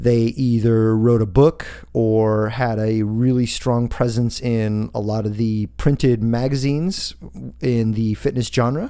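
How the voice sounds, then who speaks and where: Speaking with an American accent, a man keeps a medium pitch and a dark, mellow tone. His pace is fairly slow and his intonation fairly even. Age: 40s. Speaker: fitness coach and podcast host. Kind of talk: solo monologue podcast.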